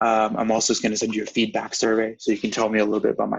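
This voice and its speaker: Very fast, monotone delivery with flat intonation. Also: man. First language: non-English. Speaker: MCAT tutor. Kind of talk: online class lecture. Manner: casual, conversational.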